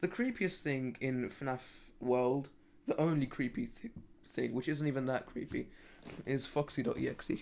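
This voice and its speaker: In a British accent, the speaker keeps a moderate pace broken by long, frequent pauses. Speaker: gaming livestreamer. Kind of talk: casual livestream chat. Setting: live stream. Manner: halting, frequent stammering and restarts.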